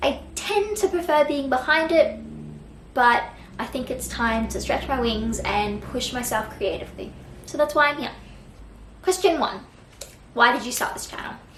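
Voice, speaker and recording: In a room with audible echo, a woman speaks at a moderate pace in a high voice, her intonation lively, her loudness swinging widely, and her pauses long and frequent. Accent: Australian. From Australia, Brisbane. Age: 20s. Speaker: book vlogger. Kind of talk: casual vlog talk to camera.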